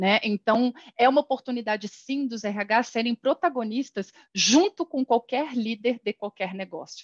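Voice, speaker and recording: At a fairly slow pace, a woman speaks in a plain, everyday voice, fairly high in pitch with ordinary pitch variation, the sound dry and close with no echo. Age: 40s. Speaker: HR executive. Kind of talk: casual interview.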